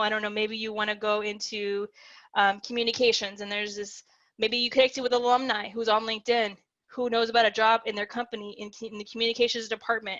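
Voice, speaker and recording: A woman's fairly high, bright, sharp voice at a fairly quick pace, monotone and flat in intonation, over a quiet background. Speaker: career counselor. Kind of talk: presentation. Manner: fast.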